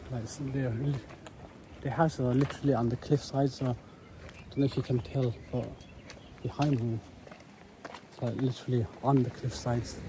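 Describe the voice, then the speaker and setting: Long, frequent pauses in a man's moderately paced speech, medium in pitch and fairly even in intonation. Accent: British. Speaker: travel vlogger. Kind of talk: travel vlog narration. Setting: outdoors.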